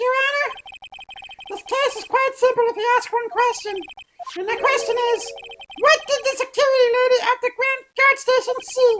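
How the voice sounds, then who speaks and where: In a put-on character voice, someone squeaks at an extremely high pitch and a moderate pace, with long, frequent pauses. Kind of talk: formal courtroom speech. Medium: game stream. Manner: formal, precise.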